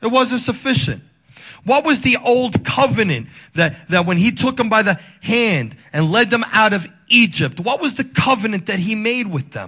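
A man with a high pitch projects a raised voice at a moderate pace. His tone is bright, sharp and animated. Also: lively intonation. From Dominican Republic. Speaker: pastor. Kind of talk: sermon.

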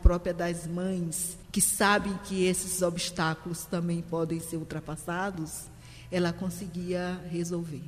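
A woman talks at a very slow pace while noticeable background noise sits behind her voice. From Maranhão, Brazil (São Luís). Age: 60s. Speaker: literature teacher. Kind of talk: interview conversation.

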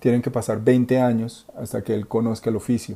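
Delivering flat, monotone intonation at a moderate pace, a man speaks with a medium pitch and a dark, mellow tone. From Colombia. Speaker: fashion designer. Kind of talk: interview. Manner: halting.

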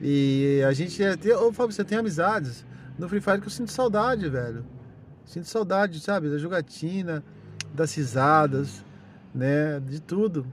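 Speaking at a fairly slow pace with long, frequent pauses, a man uses an animated tone, lively intonation and a fairly high pitch. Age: 30s. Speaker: podcaster. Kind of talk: casual monologue.

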